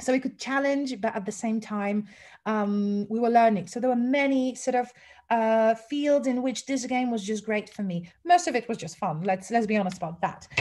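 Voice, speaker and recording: A woman speaks at a moderate pace with a Polish accent, her pitch fairly high and her pitch variation ordinary. Her tone is dark and mellow, and somewhat breathy. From Poland. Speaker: English teacher trainer. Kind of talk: webinar lecture. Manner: casual, with fillers. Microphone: sound issues.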